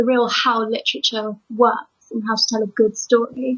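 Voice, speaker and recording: Speaking with a British accent, a woman uses a fairly high pitch and monotone, flat intonation at a moderate pace. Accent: English (UK). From England. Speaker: proofreader and editor. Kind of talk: interview.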